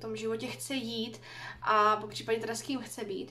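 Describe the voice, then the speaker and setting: A woman with a fairly high pitch talks at a fairly quick pace over light background noise. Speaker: book vlogger. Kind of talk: casual vlog monologue. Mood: relaxed, thoughtful. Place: home room. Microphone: phone near.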